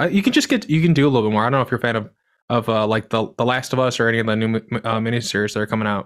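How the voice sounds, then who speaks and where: A man talking at a very fast pace, with ordinary pitch variation and a quiet background. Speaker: podcast host. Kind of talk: casual interview. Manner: halting, many fillers. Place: home room.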